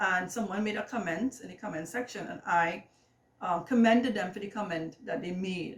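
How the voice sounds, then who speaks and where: A woman talks at a fairly quick pace with lively intonation in a Trinidadian accent. Background noise is noticeable. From Trinidad and Tobago. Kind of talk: casual vlog monologue. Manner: hesitant, many fillers.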